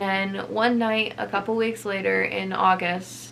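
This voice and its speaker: Speaking at a fairly slow pace and a medium pitch, a woman is heard with audible room echo and noticeable background noise. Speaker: vlogger. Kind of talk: personal vlog testimony.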